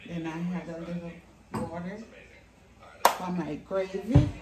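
Loud background noise runs throughout. The speech moves at a fairly slow pace. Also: woman. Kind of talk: cooking tutorial. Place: kitchen.

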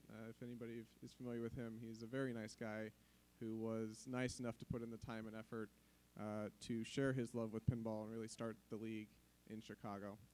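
This man speaks fairly quickly. His intonation is monotone and flat. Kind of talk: conference presentation. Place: hall.

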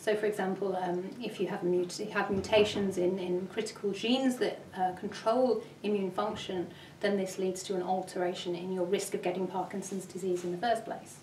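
At a moderate pace, the speaker's flat, monotone delivery comes through with audible room echo and light background noise. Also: woman. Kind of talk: interview answer. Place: office.

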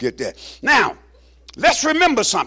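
A raised, projected voice with a bright, sharp tone comes at a moderate pace. The background is quiet. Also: man. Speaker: pastor preaching. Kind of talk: sermon. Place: church.

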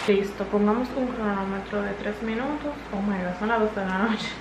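A woman speaks at a fairly slow pace. Audible room echo and clear background noise surround her.

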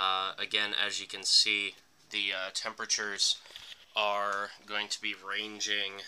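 This man speaks at a fairly slow pace. His pitch sits fairly low. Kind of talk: casual vlog chat. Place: home room. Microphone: phone near.

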